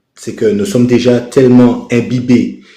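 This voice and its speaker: A man's dark, mellow voice at a very slow pace, with audible room echo. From Caribbean. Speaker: live stream participant. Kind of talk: casual chat. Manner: halting, many fillers.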